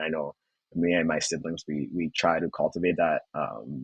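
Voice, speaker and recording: Heard with a dry, close sound and no echo, a man with a Rwandan accent speaks in a very deep, low voice. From Rwanda, moved to Canada in 2010. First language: Kinyarwanda. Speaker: finance student. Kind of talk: podcast interview.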